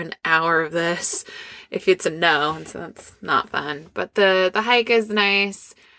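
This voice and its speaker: A bright, sharp voice at a very slow pace with ordinary pitch variation, dry and close with no echo, on a very clean recording with a silent background. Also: woman. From Scandinavia. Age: 30s. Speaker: performer and business owner, dating panelist. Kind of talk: casual chat. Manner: animated.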